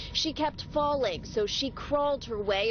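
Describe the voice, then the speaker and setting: A woman talks at a moderate pace, and noticeable background noise can be heard. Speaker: TV news reporter. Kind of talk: TV news report.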